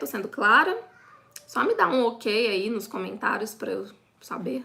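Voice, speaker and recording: This is a woman speaking. Her pitch is fairly high and her intonation lively. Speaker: online business course instructor. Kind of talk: live online class. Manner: fast.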